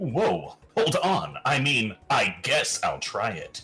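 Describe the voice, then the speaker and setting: Over faint music in the background, a man does a put-on character voice at a very slow pace. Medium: game stream. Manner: slangy, sarcastic.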